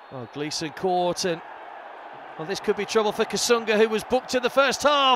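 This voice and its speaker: The speech moves at a fairly quick pace with lively intonation and big swings in loudness. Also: man, high pitch for a man. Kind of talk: live sports commentary. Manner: urgent, clipped play-by-play delivery.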